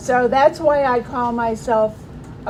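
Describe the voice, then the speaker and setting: Over noticeable background noise, a woman speaks at a moderate pace. Her voice is fairly high, with fairly even intonation. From Maryland Eastern Shore, US. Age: 60s. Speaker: recovering alcoholic speaker. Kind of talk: recovery testimony talk.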